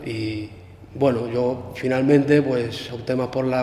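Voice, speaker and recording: Clear background noise and audible room echo surround a man's speech. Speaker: former prisoner, political activist. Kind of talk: interview. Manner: halting.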